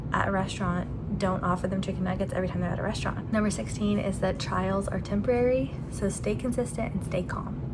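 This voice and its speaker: A woman speaks at a fairly quick pace. Room echo is audible, along with noticeable background noise. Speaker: stay-at-home mom vlogger. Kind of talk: casual vlog talk.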